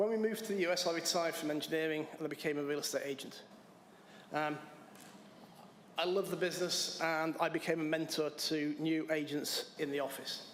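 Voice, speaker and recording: A man's fairly high voice with an English accent, fairly quick yet broken by long, frequent pauses, the intonation fairly even, amid noticeable background noise and audible room echo. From England. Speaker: applicant to town board. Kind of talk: public comment at council meeting.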